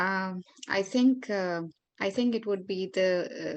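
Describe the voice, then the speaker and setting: A woman speaks with a Marathi accent. Her pitch is medium, with ordinary variation. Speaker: yoga therapist and life coach.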